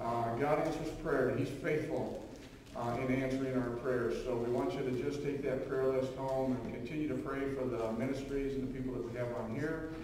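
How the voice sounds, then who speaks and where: A man's flat, monotone delivery at a moderate pace, with strong room echo and light background noise. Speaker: pastor at pulpit. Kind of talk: church announcements. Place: church.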